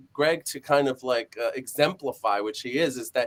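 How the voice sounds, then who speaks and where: With lively intonation, a man uses an ordinary speaking voice pitched fairly high. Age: 40s. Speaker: live stream host, acting school. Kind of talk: casual chat.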